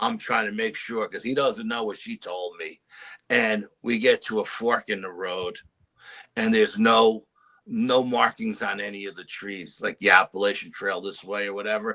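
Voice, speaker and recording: The speech moves at a moderate pace, with big swings in loudness. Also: man. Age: 60s. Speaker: bigfoot researcher. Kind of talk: storytelling. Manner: halting.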